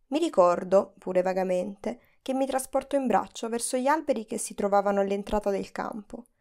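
A woman with a plain, everyday voice, fairly high pitch, ordinary pitch variation, and a fairly quick pace in a very clean recording with a silent background. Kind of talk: literary audiobook reading, first-person memoir narration. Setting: studio recording.

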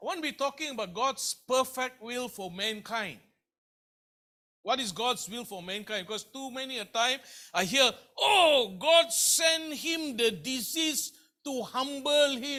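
A man's raised, projected voice, extremely high in pitch, bright and sharp in tone, with lively intonation at a fairly slow pace. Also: big swings in loudness. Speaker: pastor. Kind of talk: sermon. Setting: church. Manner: repetitive, halting.

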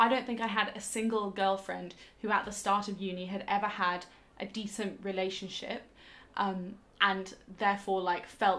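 The delivery is a flat monotone at a moderate pace. Its loudness rises and falls sharply. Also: woman. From southwest England, Bath; southwest England. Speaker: book reviewer. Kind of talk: book review monologue. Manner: casual, with frequent fillers. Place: home room.

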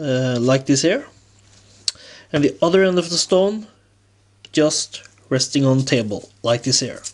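Speaking with a non-native accent, a man goes at a fairly slow pace, his fairly high pitch carried on lively intonation and broken by long, frequent pauses. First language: non-native English speaker. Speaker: revolver hobbyist. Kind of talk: tutorial talk to camera.

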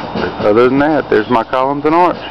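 At a fairly quick pace, the speaker talks in a strong Southern US accent over noticeable background noise, the sound dry with no echo. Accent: deep Southern US. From Southern United States. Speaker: home haunted attraction builder. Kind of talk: casual talk to camera. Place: garden. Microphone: phone near.

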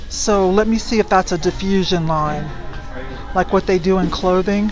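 Clear background music behind a woman's moderate pace. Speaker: reseller thrifting for items to resell. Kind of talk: casual vlog chat. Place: shop. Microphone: phone near.

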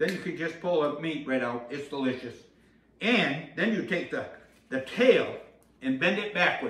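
A man speaks at a moderate pace with lively intonation. Long, frequent pauses break up his speech, and the room echo is audible. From Maine. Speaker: humorist, storyteller; storyteller. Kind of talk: comic storytelling monologue.

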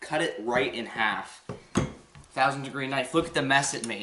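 Against noticeable background noise, a man speaks with ordinary pitch variation. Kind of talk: casual vlog chat. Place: kitchen. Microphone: camera far.

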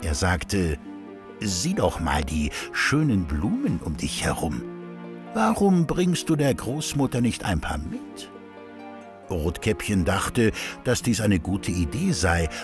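A man talks at a very slow pace, with long, frequent pauses and very wide pitch swings. Music plays in the background. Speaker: narrator. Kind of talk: children's fairy tale narration. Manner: child-friendly storytelling.

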